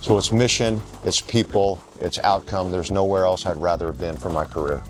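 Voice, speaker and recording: A man with a very deep, low voice and ordinary pitch variation talks fairly quickly against noticeable background noise. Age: 60s. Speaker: university president. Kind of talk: interview.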